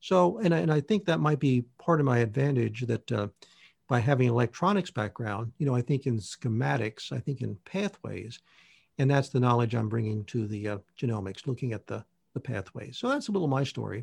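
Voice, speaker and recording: Against a quiet background, a man of medium pitch speaks at a fairly quick pace with lively intonation, somewhat breathy, in a dry, close sound with no echo. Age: 60s. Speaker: naturopath and nutrition researcher. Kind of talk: interview, technical explanation.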